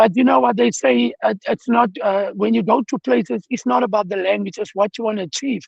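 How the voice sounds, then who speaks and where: A man's high-pitched voice, fairly quick in pace, with lively intonation. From South Africa, Cape Town (Hanover Park). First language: Afrikaans. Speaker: former professional footballer. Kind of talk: personal testimony on a panel. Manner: hesitant, many fillers.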